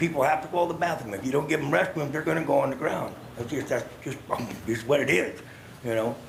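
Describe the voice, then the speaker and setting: Over noticeable background noise and audible room echo, a man with a fairly high voice speaks at a very fast pace. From US Pacific Northwest, Salem Oregon. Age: 60s. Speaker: homeless retired veteran, public commenter. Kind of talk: public comment testimony. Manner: plain-spoken, repetitive filler 'you know'.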